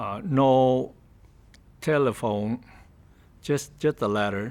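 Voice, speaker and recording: Here a man speaks in a Vietnamese accent at medium pitch with ordinary pitch variation. His pace is very slow. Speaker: refugee interviewee. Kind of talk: interview testimony. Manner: halting.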